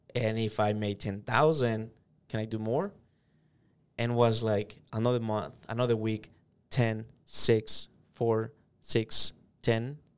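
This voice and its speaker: Speaking very slowly with long, frequent pauses, a man uses fairly even intonation and a medium pitch in a Spanish accent. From El Salvador. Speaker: sales manager. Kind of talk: interview.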